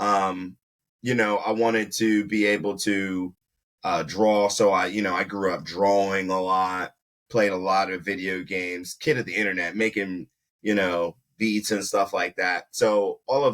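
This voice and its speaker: A man speaks at a moderate pace with fairly low pitch. His pitch variation is ordinary. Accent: Baltimore. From South Carolina, then Baltimore from early teens. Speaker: video producer, entrepreneur. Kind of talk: casual interview chat.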